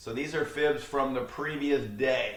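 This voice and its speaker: Fairly even intonation in a man's voice set fairly high in pitch. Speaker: day trading educator. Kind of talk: tutorial. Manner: fast; casual.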